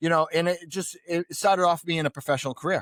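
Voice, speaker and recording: A man with a strong Boston accent speaks at a very fast pace. The recording is very clean and dry, close with no echo, and the background is silent. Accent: pronounced Boston. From New England, Boston area. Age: 40s. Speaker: real estate investor. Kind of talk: podcast interview, personal story.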